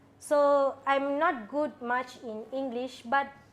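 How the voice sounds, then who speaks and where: A woman speaks with a Tamil accent. Her voice is high-pitched. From Sabah, Malaysia, Indian community. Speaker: religious sister. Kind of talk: casual interview. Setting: studio.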